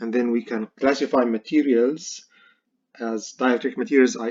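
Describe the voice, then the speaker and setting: This man talks at a moderate pace with a non-native accent. His pitch sits in the medium range. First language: not English. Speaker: university professor. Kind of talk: lecture. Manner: halting, many fillers.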